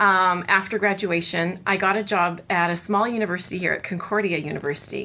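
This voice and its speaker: A woman talks at a moderate pace with a Canadian accent. Her medium-pitched tone is bright and sharp. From Canada, Winnipeg, Manitoba. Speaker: cello professor. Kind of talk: interview.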